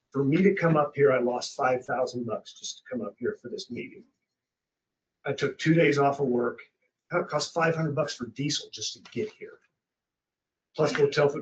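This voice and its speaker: A somewhat breathy man speaks at a moderate pace with ordinary pitch variation, long and frequent pauses, and big swings in loudness. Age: 50s. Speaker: landowner protesting property tax. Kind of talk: public comment at county board hearing. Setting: county commission meeting. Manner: emphatic.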